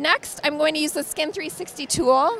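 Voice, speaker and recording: With music in the background, the speaker goes at a fairly slow pace in a dry sound with no echo. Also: woman. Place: hall. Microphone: handheld.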